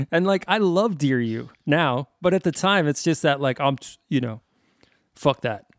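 A man with an American accent speaks slowly-ish in an ordinary speaking voice, fairly high-pitched with lively intonation. The sound is dry and close with no echo, a very clean recording on a silent background. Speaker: musician. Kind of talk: casual chat. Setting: podcast interview.

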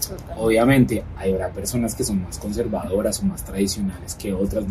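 A fairly low-pitched man at a fairly quick pace with ordinary pitch variation, audible room echo and music in the background. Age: 30s. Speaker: political scientist and communicator. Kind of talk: personal interview. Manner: halting, many repetitions.

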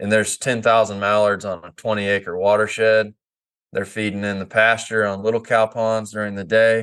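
Against a quiet background, a man speaks with an American accent. His pitch is fairly low and his intonation monotone and flat. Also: moderate pace. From Kansas, near Oklahoma border. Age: 30s. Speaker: former duck hunting outfitter and photographer. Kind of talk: casual podcast interview.

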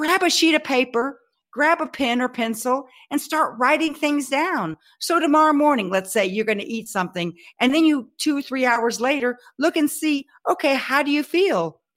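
A woman with a Texan accent speaks at a moderate pace in a high pitch with lively intonation. The recording is very clean, the background silent. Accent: Texan Southern US. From Texas. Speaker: health speaker and personal trainer. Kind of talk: interview.

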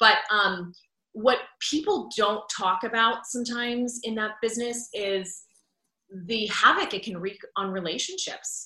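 A woman with an unremarkable speaking voice talks at a fairly slow pace. Her pitch is fairly high, with ordinary variation. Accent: American. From Pittsburgh, Pennsylvania. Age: 30s. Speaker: former TV news anchor, podcaster. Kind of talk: interview conversation.

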